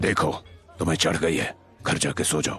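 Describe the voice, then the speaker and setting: A man puts on a character voice, very deep and low in pitch and raspy. His pace is moderate. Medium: fan dub. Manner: cold, blunt.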